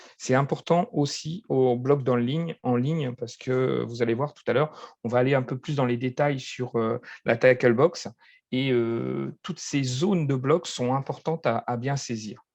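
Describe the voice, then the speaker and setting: The man speaks at a fairly slow pace and medium pitch, with fairly even intonation and big swings in loudness. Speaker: football referee instructor. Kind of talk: online training session. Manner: halting, many fillers.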